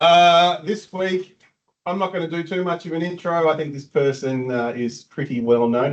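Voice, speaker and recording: The voice is loud, with very wide pitch swings. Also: man. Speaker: meetup organiser. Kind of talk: event introduction. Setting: meetup venue with live audience.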